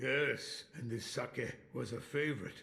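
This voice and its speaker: A man's put-on character voice at medium pitch, fairly slow and with fairly even intonation. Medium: short film.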